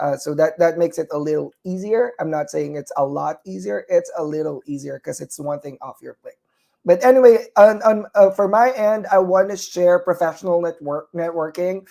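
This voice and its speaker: A moderate pace in a Filipino accent. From Philippines. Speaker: nurse and talk show host. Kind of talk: live online talk show. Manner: hesitant, many fillers.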